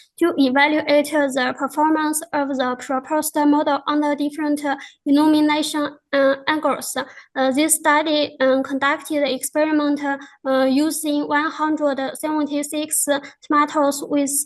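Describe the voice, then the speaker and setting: In a Chinese accent, a woman speaks at a high pitch and a fairly slow pace with monotone, flat intonation and very even loudness, against a quiet background. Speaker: researcher presenting a paper. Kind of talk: conference presentation. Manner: halting, many fillers.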